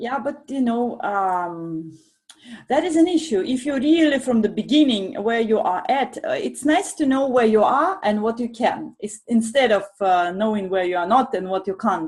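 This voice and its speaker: A woman speaks with a Russian accent at a moderate pace, her fairly high voice swinging very widely in pitch. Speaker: professional coach. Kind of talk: panel discussion. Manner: carefully articulated.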